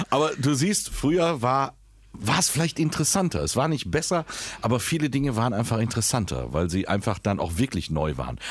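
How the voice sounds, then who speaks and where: Keeping his loudness very even, a man speaks at a fairly quick pace with very wide pitch swings. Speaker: podcast co-host and voice-over artist. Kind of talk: casual chat.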